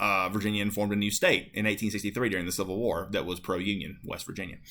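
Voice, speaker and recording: A man speaks with an American accent, and some room echo is audible. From Appalachia, North Carolina-Tennessee border. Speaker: high school history teacher. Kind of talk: lecture. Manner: casual, many fillers (um, uh, like).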